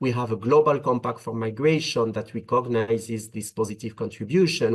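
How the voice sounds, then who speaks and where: A man with a French accent, medium-pitched with ordinary pitch variation, at a moderate pace against a quiet background. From France. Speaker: migration policy expert. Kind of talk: webinar panel talk. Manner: hesitant, many filler uhs.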